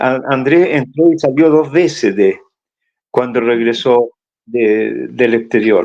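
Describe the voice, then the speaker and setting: A man's medium-pitched voice at a very slow pace, with ordinary pitch variation and very even loudness. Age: 80s+. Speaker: former political militant interviewee. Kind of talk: oral history testimony. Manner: halting, many repetitions and fillers.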